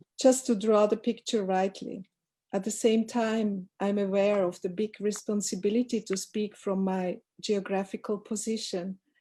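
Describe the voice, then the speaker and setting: Her voice is somewhat breathy with a dark, mellow tone, and her intonation is monotone and flat. The woman speaks at a moderate pace in a very clean recording with a silent background. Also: medium pitch for a woman. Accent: non-native. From Europe, Roma community. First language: not English. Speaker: scholar and artistic director. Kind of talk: reading a prepared talk. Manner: careful, reading aloud.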